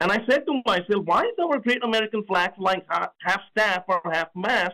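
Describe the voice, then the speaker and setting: In a raised, projected voice with a high pitch and a bright, sharp tone, a man with a slight Indian accent speaks at a moderate pace with ordinary pitch variation and very even loudness. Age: 40s. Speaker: presidential candidate. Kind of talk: radio interview. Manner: halting, many fillers.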